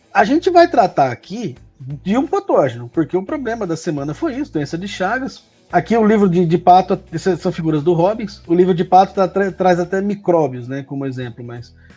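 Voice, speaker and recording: A man with a São Paulo interior accent speaks at a high pitch. His pace is moderate, and his pitch swings very widely. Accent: caipira accent of inner São Paulo. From interior of São Paulo state, Brazil. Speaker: professor. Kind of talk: educational conversation. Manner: casual, explanatory.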